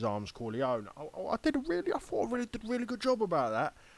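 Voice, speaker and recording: A man with a Cockney accent speaks using lively intonation. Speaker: YouTuber. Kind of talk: casual commentary. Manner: animated.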